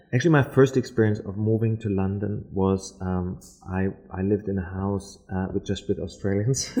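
Speaking with a German accent, a man has a fairly low pitch and a dark, mellow tone, keeping a moderate pace and fairly even intonation. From Germany, Berlin. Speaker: architecture lecturer. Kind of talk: casual interview.

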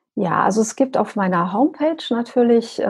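A woman in a normal speaking voice, fairly high in pitch, with ordinary pitch variation at a moderate pace. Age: 40s. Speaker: business coach and extreme runner. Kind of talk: interview.

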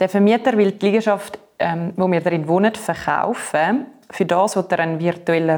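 This is a woman with a medium-pitched voice. It is a normal speaking voice. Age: 20s. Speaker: marketing worker, tenant. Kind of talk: casual chat.

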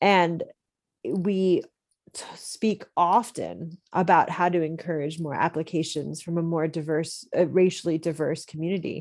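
A woman with an American accent and a plain, everyday voice, fairly low in pitch, fairly slow, with fairly even intonation and a quiet background. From central Pennsylvania. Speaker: company chief executive. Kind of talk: interview.

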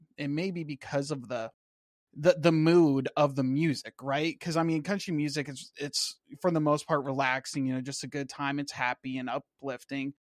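It is a plain, everyday voice: a man with an American accent, fairly high in pitch, at a moderate pace. His intonation is fairly even, and the sound is dry and close with no echo. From Washington State, US. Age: 20s. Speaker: Navy veteran and YouTuber. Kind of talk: casual interview chat.

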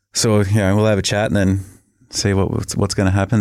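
A man's fairly low voice in a strong Australian accent, monotone and flat, on a very clean recording with a silent background. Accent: broad Australian. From rural Victoria, Australia. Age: 30s. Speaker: professional football punter. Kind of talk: casual interview chat.

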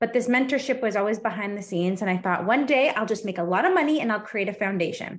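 Here is a woman with an ordinary speaking voice and a Canadian accent. Her pitch variation is ordinary. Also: quiet background. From Canada. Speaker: life and business coach. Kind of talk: interview.

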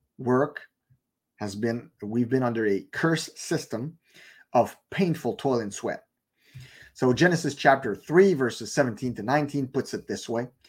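In a very clean recording with a silent background, a man with a French accent speaks at a moderate pace and medium pitch, using ordinary pitch variation. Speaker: online preacher. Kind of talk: sermon-style Bible teaching. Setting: live stream broadcast.

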